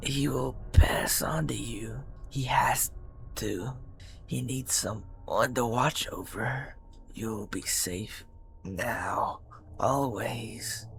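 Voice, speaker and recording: Whispering in a raspy, put-on character voice, a man goes at a very slow pace with long, frequent pauses. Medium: read story. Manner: calm, serene, intense.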